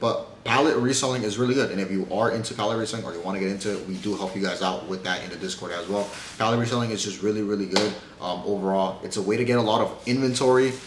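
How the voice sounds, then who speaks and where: Very fast speech comes from a man with a fairly low pitch, amid audible room echo and noticeable background noise. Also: ordinary pitch variation. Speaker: YouTuber giving reselling advice. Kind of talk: casual tutorial to camera. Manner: casual, some stumbling.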